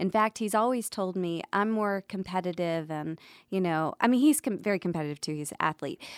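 With an unremarkable speaking voice, a woman talks at a fairly quick pace with lively intonation in a dry, close sound with no echo. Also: medium pitch for a woman, very clean recording, silent background. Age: 30s. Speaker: podcast host. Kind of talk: podcast monologue; casual chat.

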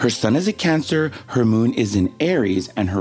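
A man with an American accent speaks at medium pitch, using very wide pitch swings. Noticeable background noise runs behind him. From Texas. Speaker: podcast co-host. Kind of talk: casual chat.

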